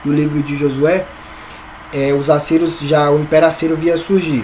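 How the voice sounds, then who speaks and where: At a moderate pace, the voice comes through over noticeable background noise. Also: man. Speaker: Sunday school teacher. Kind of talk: Bible lesson. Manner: halting, repeats words.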